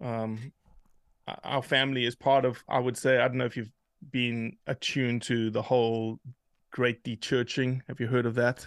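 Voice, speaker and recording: A man's medium-pitched voice with a South African accent, moderate pace and fairly even intonation, in a dry, close sound with no echo. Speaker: hunting advocate, organization leader. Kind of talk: casual interview conversation.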